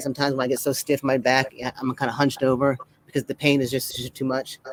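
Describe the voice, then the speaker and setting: Speaking at a very fast pace, a man with a fairly high voice comes through a dry, close sound with no echo over noticeable background noise. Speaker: Parkinson's awareness advocate and fitness trainer. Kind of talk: casual interview chat.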